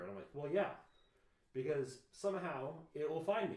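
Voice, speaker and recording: With audible room echo, a man talks at a fairly quick pace, using vocal fry and very wide pitch swings. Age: 30s. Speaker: podcast co-host. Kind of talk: casual chat. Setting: at home.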